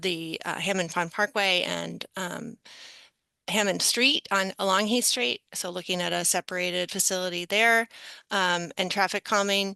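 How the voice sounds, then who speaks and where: A woman's bright, sharp voice at medium pitch, with fairly even intonation and a moderate pace, dry and close with no echo over a quiet background. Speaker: transportation planning consultant. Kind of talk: presentation at a public board meeting. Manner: many filler words and hesitations.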